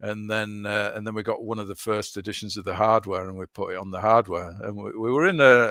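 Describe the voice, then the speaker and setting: Speaking at a fairly quick pace with hardly any pauses, a man with a Yorkshire accent keeps a fairly low pitch and fairly even intonation. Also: big swings in loudness, very clean recording, silent background. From northern England, Leeds. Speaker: video game developer. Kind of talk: interview. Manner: halting.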